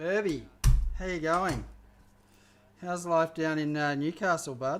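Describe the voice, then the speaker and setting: A man speaks with an Australian accent. His pitch is fairly high and his intonation fairly even. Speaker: chef. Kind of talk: live cooking stream chat. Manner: casual, halting with fillers.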